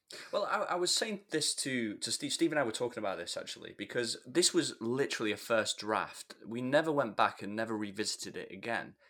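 With hardly any pauses, a man talks fairly quickly in a bright, sharp tone, his intonation lively and his pitch medium. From northern England / Scotland. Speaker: podcast co-host, former holiday entertainer. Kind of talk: casual chat.

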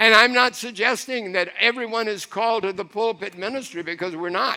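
Raised and projected, a man's voice comes across bright and sharp, high in pitch with ordinary variation, at a moderate pace. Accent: American. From Florida, US South (Miami). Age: 80s+. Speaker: preacher. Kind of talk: sermon.

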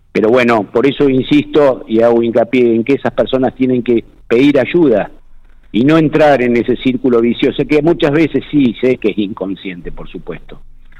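A man with a Rioplatense accent talks at a moderate pace. His pitch is medium, with ordinary variation. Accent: Argentine Spanish (rioplatense). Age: 60s. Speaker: provincial security minister. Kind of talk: radio interview. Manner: halting, many repetitions and fillers.

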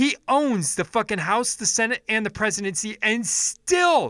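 On a very clean recording with a silent background and a dry, close sound with no echo, a man projects a raised, high-pitched voice with a bright, sharp tone, lively intonation and a fairly slow pace. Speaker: political podcast host. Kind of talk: angry political rant, profanity-laden solo monologue. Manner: furious and exasperated, swearing heavily; frequent filler ums, stumbling restarts.

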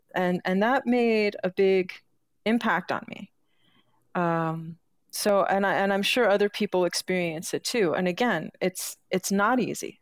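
Dry and close with no echo, a woman's normal speaking voice comes at a fairly slow pace and medium pitch with ordinary pitch variation. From New York City. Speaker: marketing strategist and startup advisor. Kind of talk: podcast interview. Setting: live stream video call.

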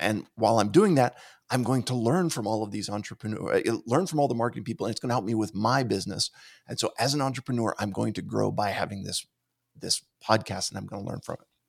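A man with an American accent and vocal fry, very fast pace and ordinary pitch variation, in a very clean recording with a silent background. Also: medium pitch for a man. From Pittsburgh, US. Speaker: motivational speaker and podcast producer. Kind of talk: casual interview. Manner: talkative.

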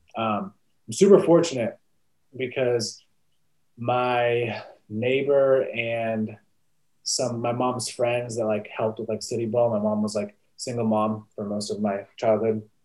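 A man speaks at a fairly slow pace and medium pitch, with fairly even intonation broken by long, frequent pauses. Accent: American. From US West Coast, Sonoma County, California. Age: 20s. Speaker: former college football player, business owner. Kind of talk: interview.

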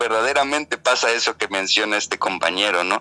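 The voice has lively intonation and a northwestern Mexican accent. The sound is dry and close with no echo, over noticeable background noise. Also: man. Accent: northwestern Mexican Spanish (Sinaloa). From Mexico, Mazatlán, Sinaloa. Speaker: actor and theatre director. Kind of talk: casual interview chat.

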